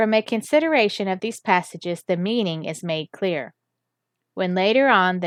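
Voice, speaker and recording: A woman's normal speaking voice, medium in pitch, with lively intonation, a moderate pace and a quiet background. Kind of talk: reading aloud.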